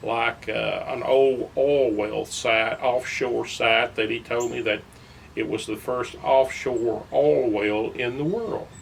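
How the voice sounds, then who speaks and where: Over noticeable background noise, a man with an East Texas accent speaks at a very slow pace. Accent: East Texas Southern US. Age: 70s. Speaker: local fisherman and former lake guide. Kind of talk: personal reminiscence. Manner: halting, many fillers.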